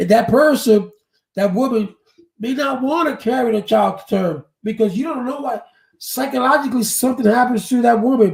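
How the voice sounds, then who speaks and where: A man speaks at a moderate pace with an extremely high pitch. His pitch varies in an ordinary way. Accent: American. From New York. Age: 50s. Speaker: live streamer. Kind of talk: casual live stream commentary. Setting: live stream.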